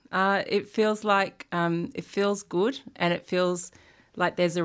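In a very clean recording with a silent background, a woman talks with an Australian accent. Her voice is fairly low, at a moderate pace with fairly even intonation. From Sydney, Australia. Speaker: lawyer and organisation chief executive. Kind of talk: interview.

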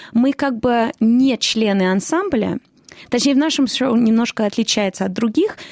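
A woman speaks with a non-native accent at a fairly high pitch and ordinary pitch variation. The sound is dry and close, with no echo. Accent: non-native-sounding Russian, self-described. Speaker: musical theatre actress. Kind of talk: interview.

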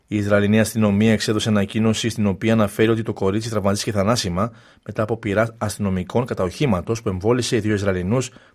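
A fairly low male voice at a very fast pace, with fairly even intonation, on a very clean recording with a silent background. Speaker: radio newsreader. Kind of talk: news bulletin read aloud in formal, scripted Greek. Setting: studio. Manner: formal, measured, steady; brisk, neutral, even delivery.

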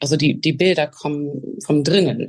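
A woman talks very slowly in a very deep, low pitch, her intonation fairly even. Her voice is somewhat breathy. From Australia, Melbourne. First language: English (speaking German). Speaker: opera singer. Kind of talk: interview. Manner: halting.

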